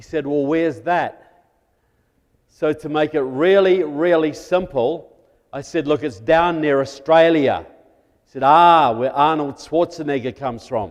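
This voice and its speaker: A man's fairly high voice in a New Zealand accent, fairly slow, with ordinary pitch variation. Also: big swings in loudness. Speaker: guest speaker on national security. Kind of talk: political talk to church audience. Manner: conversational, humorous.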